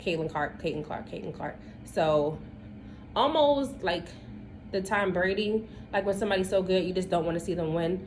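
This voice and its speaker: With an American accent, a woman speaks at a moderate pace in a medium pitch with lively intonation and long, frequent pauses, amid audible room echo. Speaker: podcast co-host. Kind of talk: casual chat.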